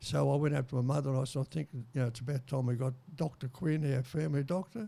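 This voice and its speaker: In a very clean recording with a silent background, a man with an Australian accent speaks at a very fast pace, his fairly high, somewhat breathy voice carrying a dark, mellow tone and fairly even intonation. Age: 90s. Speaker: war veteran. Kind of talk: interview. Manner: halting.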